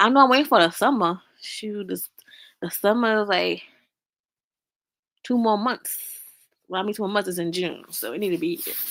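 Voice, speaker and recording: A woman with an American accent speaks at a moderate pace in a medium pitch, her loudness swinging widely, her pitch varying in the usual way, and her speech broken by long, frequent pauses. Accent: Southern country accent, noticeable at times. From US South, Augusta, Georgia. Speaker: livestreamer. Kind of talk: casual chat. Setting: livestream. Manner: chatty, repetitive.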